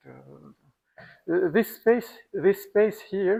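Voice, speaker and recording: Here a man speaks. His pace is very slow. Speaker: mathematician. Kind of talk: lecture. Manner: halting.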